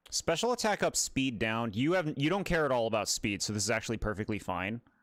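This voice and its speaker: Loud and fairly quick, a man speaks at medium pitch with very wide pitch swings, in a very clean recording with a silent background and a dry, close sound with no echo. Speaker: gaming streamer. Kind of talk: casual livestream commentary. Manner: casual, chatty.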